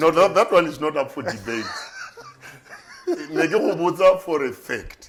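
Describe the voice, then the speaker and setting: Amid noticeable background noise, a man with a high pitch talks at a very slow pace, with long, frequent pauses, big swings in loudness and ordinary pitch variation. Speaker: pastor. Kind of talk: interview answer. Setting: studio.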